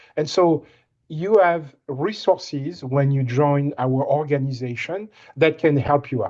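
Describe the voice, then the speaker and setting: Speaking at a fairly slow pace with a slight French accent, a man with a fairly high pitch uses ordinary pitch variation against a quiet background. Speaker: winemaker. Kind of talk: presentation on a recruitment call. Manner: halting, repeats words.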